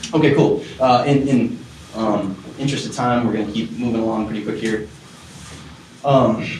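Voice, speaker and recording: A man speaks at a fairly quick pace with ordinary pitch variation. Room echo and background noise are both noticeable. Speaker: music business teacher. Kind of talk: lecture. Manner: fast; casual.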